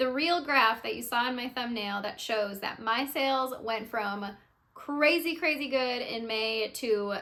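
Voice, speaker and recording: A woman speaks at a fairly slow pace in a high-pitched voice with a bright, sharp tone. Her pitch moves in an ordinary way. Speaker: YouTuber and beginner eBay reseller. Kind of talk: casual unscripted vlog talk. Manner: pauses and stutters, many filler words; relaxed, candid.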